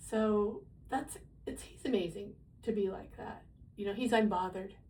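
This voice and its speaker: A woman speaks at a moderate pace and medium pitch, her dark, mellow tone marked by vocal fry, with fairly even intonation but big swings in loudness. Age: 70s. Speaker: retired teacher. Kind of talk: casual talk to camera.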